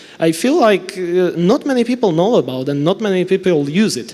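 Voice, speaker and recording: A man with a Slovak accent talks at a fairly quick pace. Noticeable background noise is present. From Slovakia. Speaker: network engineer and trainer. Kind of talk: conference talk. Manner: fast.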